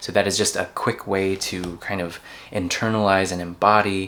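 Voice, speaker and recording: Speaking at a fairly slow pace, a man uses a very deep, low pitch and a monotone, flat intonation. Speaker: tarot reader. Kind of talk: channeled tarot reading. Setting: filming abroad on a work trip.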